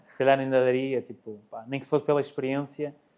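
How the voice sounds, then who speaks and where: Very fast in pace, a man talks at a medium pitch. His tone is dark and mellow. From Portugal, Guarda. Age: 30s. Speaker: amateur cyclist and nurse. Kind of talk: casual interview. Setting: studio, in person.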